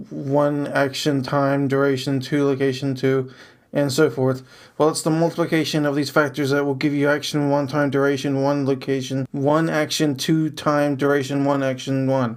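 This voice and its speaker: Recorded very cleanly with a silent background, a man speaks in a monotone, flat way at a fairly high pitch, his loudness very even throughout. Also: moderate pace. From abroad, moved to US South Carolina as child. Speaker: podcaster reading own journal. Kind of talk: reading aloud.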